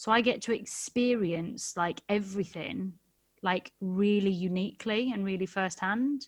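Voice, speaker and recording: Against a quiet background, a woman with a Geordie accent speaks at a fairly slow pace and a medium pitch, with ordinary pitch variation. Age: 30s. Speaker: West End actor. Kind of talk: casual chat. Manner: animated, chatty.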